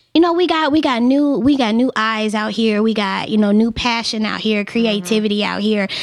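Over noticeable background noise, a woman with a fairly high pitch talks at a fairly quick pace with ordinary pitch variation and hardly any pauses. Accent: American. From Memphis, US South. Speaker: photographer. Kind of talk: casual chat. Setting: studio.

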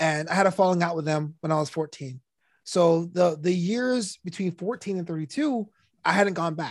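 The background is quiet. A man talks with ordinary pitch variation. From New York, Brooklyn. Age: 30s. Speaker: DJ, comedian and author. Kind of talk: casual chat. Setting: podcast studio.

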